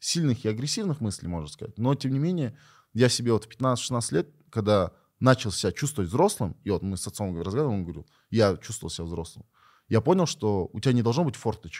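A man at a medium pitch with very wide pitch swings and a fairly quick pace, in a very clean recording with a silent background. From Kyrgyzstan. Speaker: esports player. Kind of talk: interview.

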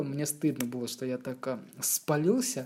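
A woman speaks in a dark, mellow tone with lively intonation. The recording is very clean, with a silent background. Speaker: graphic designer, former rapper. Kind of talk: casual chat.

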